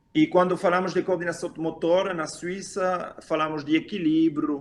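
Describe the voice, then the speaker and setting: Pitched high, a man speaks at a fairly slow pace. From Switzerland. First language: not Portuguese; learned Portuguese five years ago (speaking Portuguese). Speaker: physical education teacher and game creator. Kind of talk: interview. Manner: halting, with self-corrections.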